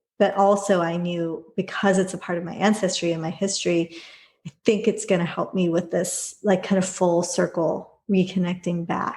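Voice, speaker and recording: A woman with an American accent speaks at a medium pitch and a moderate pace. Her voice is somewhat breathy, with monotone, flat intonation. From Los Angeles area, US. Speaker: yoga teacher and author. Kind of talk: interview conversation.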